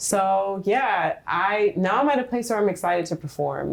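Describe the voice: A soft-spoken woman talks at a fairly low pitch, with vocal fry and a slightly husky edge.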